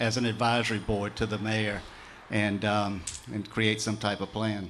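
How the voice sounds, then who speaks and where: At a moderate pace, a man speaks with a Southern US accent. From US South, Mississippi Gulf Coast. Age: 60s. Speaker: mayoral candidate. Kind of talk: political forum answers. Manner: halting, many repeated words.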